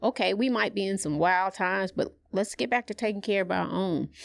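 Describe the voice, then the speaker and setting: In a very clean recording with a silent background, a woman with an American accent talks at a moderate pace and medium pitch, with ordinary pitch variation and vocal fry. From US South, Atlanta, Georgia. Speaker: former music executive, nonprofit founder. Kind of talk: interview.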